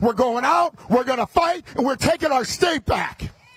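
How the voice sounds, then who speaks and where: A man with an American accent talks loudly at an extremely high pitch, with ordinary pitch variation and noticeable background noise. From US Midwest, Chicago. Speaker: politician. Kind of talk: campaign speech. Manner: fast.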